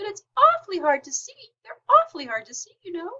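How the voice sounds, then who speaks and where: A squeaky put-on character voice is raised and projected. It moves at a fairly quick pace. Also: woman, extremely high pitch for a woman. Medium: read story.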